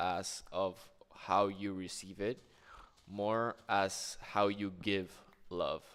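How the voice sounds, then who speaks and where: A man with a Spanish accent. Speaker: gaming streamer. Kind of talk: casual chat while gaming.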